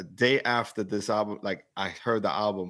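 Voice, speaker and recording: At a moderate pace, a man with a New York accent talks in a fairly low pitch. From Brooklyn, New York. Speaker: hip hop commentator. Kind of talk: live album review chat.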